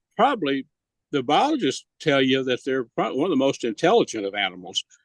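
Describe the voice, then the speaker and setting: A man with an American accent, fairly high pitch and very wide pitch swings, over a quiet background. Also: dry, close sound with no echo. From Northeast Texas. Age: 70s. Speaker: radio host and hog hunting expert. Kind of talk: casual interview chat. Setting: outdoors in the woods.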